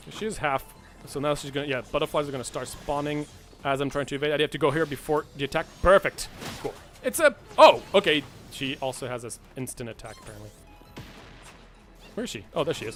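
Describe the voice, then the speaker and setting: Very fast man's voice at a fairly high pitch, with big swings in loudness and long, frequent pauses, over music in the background. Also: ordinary pitch variation. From France. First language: French. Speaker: gaming streamer. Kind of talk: live gameplay commentary. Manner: animated, halting with repeated words.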